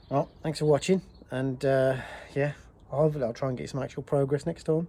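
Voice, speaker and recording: Against noticeable background noise, a man speaks at a fairly quick pace in a fairly high pitch with fairly even intonation. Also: long, frequent pauses. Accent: British. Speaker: car restoration vlogger. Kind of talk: workshop tutorial vlog. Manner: casual, halting.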